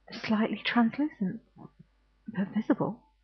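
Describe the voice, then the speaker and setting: A soft-spoken woman talks at a fairly slow pace. Her pitch is fairly high. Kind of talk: bedtime ghost story reading.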